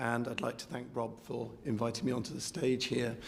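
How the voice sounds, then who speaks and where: A man's voice with audible echo from the room around him. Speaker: music teacher and competition adjudicator. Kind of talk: speech to audience. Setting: stage with audience. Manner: hesitant, many fillers.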